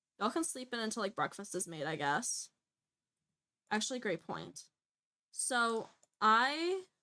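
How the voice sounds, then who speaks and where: A woman speaks loudly at a fairly slow pace in a bright, sharp tone, her fairly high pitch swinging very widely between long, frequent pauses. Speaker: gaming streamer. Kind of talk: live game stream commentary.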